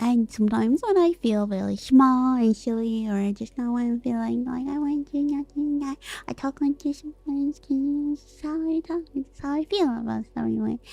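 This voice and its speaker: A woman talks in a high voice with ordinary pitch variation, big swings in loudness and hardly any pauses. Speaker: vtuber streamer. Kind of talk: casual chat. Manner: animated; fast.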